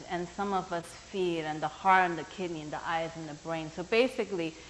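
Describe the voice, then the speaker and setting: A woman with a non-native accent. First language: not English. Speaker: workshop teacher. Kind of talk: workshop talk. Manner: animated.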